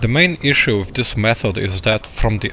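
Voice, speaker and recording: A man with a non-native accent talks at a moderate pace amid noticeable background noise. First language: not English. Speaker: video game tutorial creator. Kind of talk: tutorial.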